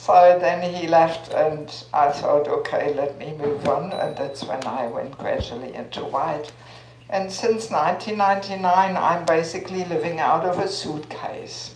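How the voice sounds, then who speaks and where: Against noticeable background noise and audible room echo, a woman speaks at a fairly slow pace in a fairly low pitch with ordinary pitch variation. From Germany. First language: German. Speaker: spiritual teacher. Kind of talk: talk to an audience.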